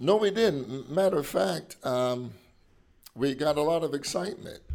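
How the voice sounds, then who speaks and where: This man has an unremarkable speaking voice with lively intonation. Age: 60s. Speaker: pastor. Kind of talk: interview.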